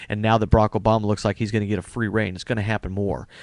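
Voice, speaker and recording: With an American accent, a man of fairly low pitch speaks against a quiet background in a dry, close sound with no echo. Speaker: political vlogger. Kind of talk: video rebuttal monologue. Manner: halting, many fillers.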